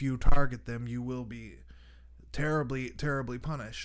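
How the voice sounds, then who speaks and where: An ordinary speaking voice, moderate pace, ordinary pitch variation. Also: man. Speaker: radio show host. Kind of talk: monologue commentary.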